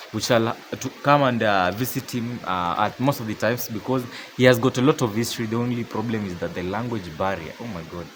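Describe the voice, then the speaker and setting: With lively intonation and a fairly quick pace, a medium-pitched man talks over noticeable background noise. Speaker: vlogger. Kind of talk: vlog walkthrough narration.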